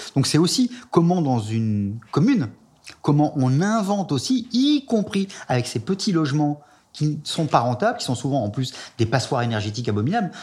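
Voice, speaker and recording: A man's fairly high, somewhat breathy voice with very wide pitch swings at a moderate pace. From France. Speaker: sociologist. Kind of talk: interview.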